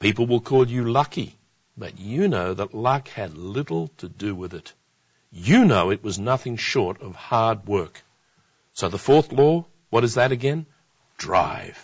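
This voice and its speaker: Speech unfolds at a fairly slow pace. The voice sounds somewhat breathy. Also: man, medium pitch for a man. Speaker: televangelist-style presenter. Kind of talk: infomercial-style sales pitch. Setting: television studio program. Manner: urgent, persuasive, earnest; direct, encouraging, repeating key points.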